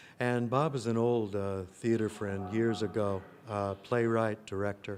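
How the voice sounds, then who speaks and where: A normal speaking voice with an American accent, a fairly slow pace and fairly even intonation. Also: man, fairly low pitch for a man. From US Midwest, rural Illinois. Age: 60s. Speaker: actor and playwright. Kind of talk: interview. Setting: film festival. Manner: reflective, with many fillers.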